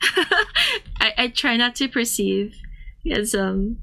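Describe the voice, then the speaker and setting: A woman's fairly high voice with a bright, sharp tone. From Thailand (ethnically Korean). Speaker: streamer and artist. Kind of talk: casual chat with live chat readers. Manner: halting, with fillers and restarts.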